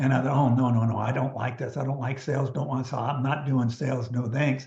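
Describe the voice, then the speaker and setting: Room echo is audible. The voice carries a somewhat breathy quality. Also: man. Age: 70s. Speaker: network marketing leader and business coach. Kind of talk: interview. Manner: halting.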